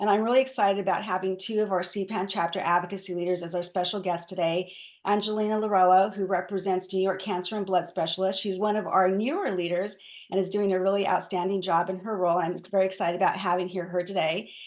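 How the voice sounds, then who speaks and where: This woman talks at a very fast pace at a medium pitch. Her intonation is monotone and flat. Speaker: patient advocacy director hosting a webinar. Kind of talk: webinar presentation.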